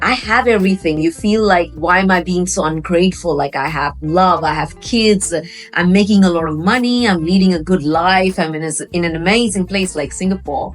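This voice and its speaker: Noticeable background noise runs throughout. The speaking pace is fairly quick. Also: woman, fairly low pitch for a woman, ordinary pitch variation. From India, Delhi. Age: 40s. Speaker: business owner and coach. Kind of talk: interview testimony.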